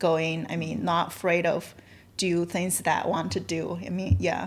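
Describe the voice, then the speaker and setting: Her pitch fairly low, a woman talks with vocal fry. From China. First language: Chinese. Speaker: realtor and real estate investor. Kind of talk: podcast interview. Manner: halting.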